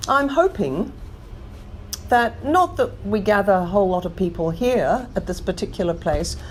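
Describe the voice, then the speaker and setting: A woman speaks at a moderate pace. She has an English accent. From London. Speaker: climate action campaigner. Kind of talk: interview answer.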